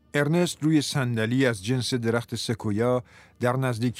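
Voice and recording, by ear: This recording is reading aloud in a natural voice.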